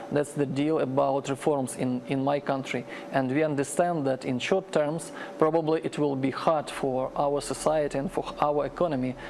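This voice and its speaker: Amid noticeable background noise, a man talks at a moderate pace, his fairly high voice keeping a fairly even intonation. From Ukraine. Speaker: Ukrainian commentator. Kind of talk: tv panel discussion. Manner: halting, many repetitions.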